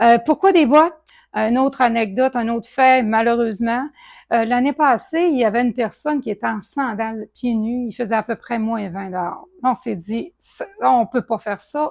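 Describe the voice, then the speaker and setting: With a Quebec accent, a woman speaks at a moderate pace and a fairly high pitch with ordinary pitch variation and big swings in loudness, in a dry, close sound with no echo on a very clean recording with a silent background. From Quebec, Saguenay. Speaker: charity co-founder. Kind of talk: testimony. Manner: halting.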